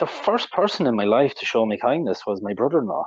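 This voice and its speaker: A man with an Irish accent. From Ireland. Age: 40s. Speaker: interviewee sharing mental health recovery story. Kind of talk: interview testimony. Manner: hesitant, with fillers and repetitions.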